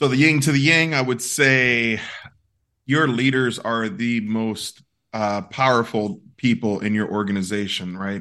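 A man with an American accent, medium in pitch with a bright, sharp tone, at a fairly slow pace against a quiet background. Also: ordinary pitch variation. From South Bronx, New York. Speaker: diversity and inclusion consultant. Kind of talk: casual interview.

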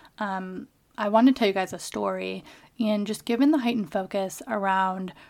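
A woman speaks with an American accent at a moderate pace and a medium pitch. The recording is very clean, with a silent background. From US Midwest (Kalamazoo, Michigan). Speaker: podcast host. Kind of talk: personal monologue. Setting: home office. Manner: casual with many fillers.

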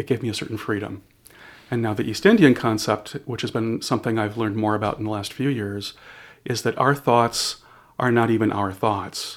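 A plain, everyday voice from a man at medium pitch, fairly quick. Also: fairly even intonation. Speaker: shaman and spiritual counselor. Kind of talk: casual interview conversation. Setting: quiet room, in person.

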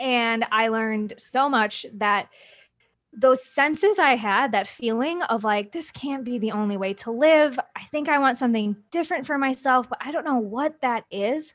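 With an American accent, a woman with a high pitch speaks at a moderate pace with ordinary pitch variation on a very clean recording with a silent background. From US Midwest, small-town Wisconsin. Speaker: entrepreneur and podcast guest. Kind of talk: casual interview chat.

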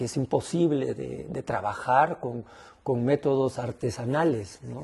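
Somewhat breathy and dark, mellow in tone, the voice moves at a moderate pace. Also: man. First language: Spanish. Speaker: ayahuasca healer. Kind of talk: interview.

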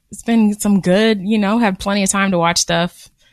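At a fairly slow pace, a woman speaks in a plain, everyday voice of medium pitch with ordinary pitch variation. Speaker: podcast co-host. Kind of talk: casual chat.

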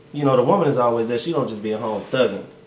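The pitch varies in an ordinary way. There is noticeable background noise. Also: man. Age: 30s. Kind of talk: casual chat.

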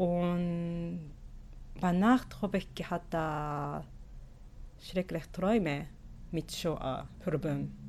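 In a very clean recording with a silent background, a woman speaks at a very slow pace with long, frequent pauses and ordinary pitch variation. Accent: Japanese. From Japan. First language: Japanese (speaking German). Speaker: sociolinguist and Yiddish teacher. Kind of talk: interview. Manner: halting.

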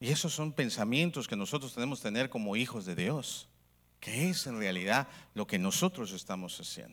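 On a very clean recording with a silent background, a man speaks at a medium pitch. His intonation is lively and his pace moderate. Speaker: preacher. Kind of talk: sermon to a live congregation, call-and-response preaching. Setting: church with audience. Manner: animated, fervent, repeatedly addressing the audience as 'hermano'; exhorting, rising-tone pulpit delivery with rhetorical questions.

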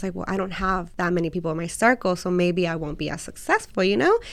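Words pour out at a very fast pace from a woman in an American accent. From US South (Alabama), Mexican family. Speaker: restaurant owner. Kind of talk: casual interview.

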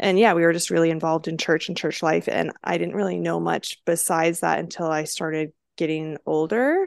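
A woman with a Canadian accent, fairly quick and with hardly any pauses, against a quiet background. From Langley, British Columbia, Canada. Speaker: podcast co-host. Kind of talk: casual chat.

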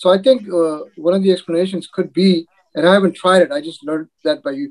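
A man with a plain, everyday voice talks at a fairly quick pace and a fairly high pitch, in a dry, close sound with no echo. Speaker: research site manager. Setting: video call.

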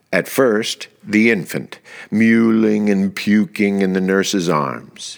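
A man's fairly low, theatrical, dramatic delivery at a very slow pace, with ordinary pitch variation. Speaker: podcast host and author. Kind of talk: soliloquy performed, Shakespearean verse read aloud. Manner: measured, theatrical, expressive delivery with dramatic emphasis.

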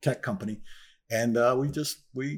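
A man's normal speaking voice, medium in pitch with ordinary pitch variation, at a fairly quick pace on a very clean recording with a silent background. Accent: American. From northern New Jersey. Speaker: former video game coder and airline pilot. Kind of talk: interview.

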